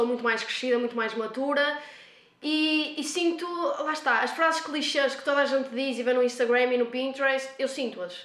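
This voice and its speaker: The voice has ordinary pitch variation, heard with audible room echo. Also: woman. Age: 20s. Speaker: nursing student. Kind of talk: casual interview. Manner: energetic, talkative.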